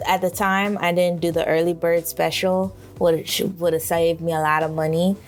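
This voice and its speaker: A woman talks. Background music can be heard. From Miami. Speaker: illustrator and podcast host. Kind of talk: casual solo podcast talk.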